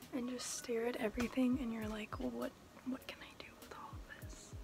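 A woman's relaxed tone over clear background music. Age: young. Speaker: vlogger. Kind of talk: casual vlog talk to camera. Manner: relaxed, chatty. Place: home room. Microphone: phone near.

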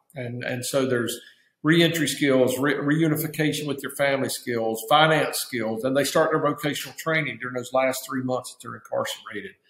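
With an Appalachian accent, a man with a fairly high pitch speaks at a moderate pace with fairly even intonation, and room echo is audible. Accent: Southern US (Appalachian). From Virginia mountains (Appalachia). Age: 60s. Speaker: nonprofit founder, former pastor; former pastor. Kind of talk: interview. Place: office. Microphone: webcam.

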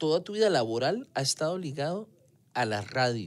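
A man speaks at a moderate pace with a Costa Rican accent. His pitch swings very widely. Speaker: radio host. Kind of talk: casual interview chat. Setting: radio studio.

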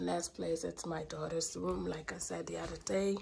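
A woman speaks with vocal fry and little pitch movement.

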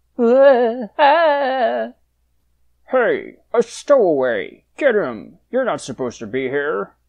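A female-sounding, cartoonish character voice shouts in a gruff, fairly high pitch. The pace is very slow. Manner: gruff, shouting.

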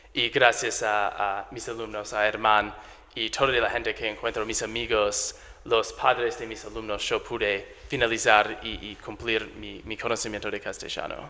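A man with an English accent at a medium pitch, monotone and flat in intonation, with a fairly slow pace and big swings in loudness. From US, Delaware. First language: English (speaking Spanish). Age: 20s. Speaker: English teacher; visiting English teacher. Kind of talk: interview. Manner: halting, many fillers and repetitions. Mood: grateful, warm. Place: studio. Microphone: handheld.

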